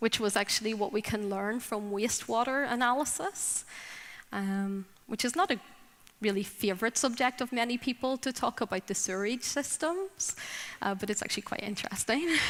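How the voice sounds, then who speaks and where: A woman with a Northern Irish accent speaks at a moderate pace. Her pitch is fairly high, with ordinary variation. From Northern Ireland. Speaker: drug policy advocate. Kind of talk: conference talk.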